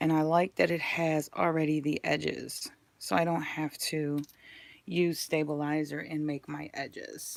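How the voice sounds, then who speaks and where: A woman speaks with a very deep, low pitch and fairly even intonation. Her pace is fairly slow, and the recording is very clean with a silent background. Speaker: sewing YouTuber. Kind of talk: casual haul video.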